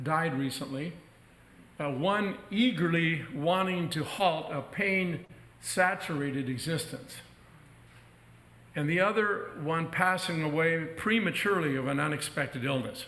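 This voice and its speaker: A man's fairly high, bright, sharp voice at a fairly slow pace, with ordinary pitch variation, long, frequent pauses and audible room echo. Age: 70s. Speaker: minister. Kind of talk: sermon. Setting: church.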